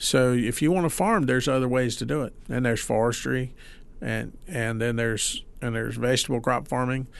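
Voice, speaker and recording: Speaking at a fairly quick pace, a man with an American accent and an unremarkable speaking voice keeps to a medium pitch with ordinary pitch variation. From Mississippi, US South. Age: 60s. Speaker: farmer. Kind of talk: casual interview chat.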